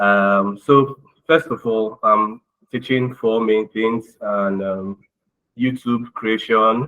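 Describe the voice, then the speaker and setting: Speaking at a very slow pace, a man uses a medium pitch and fairly even intonation. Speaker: digital skills trainer. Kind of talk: tutorial.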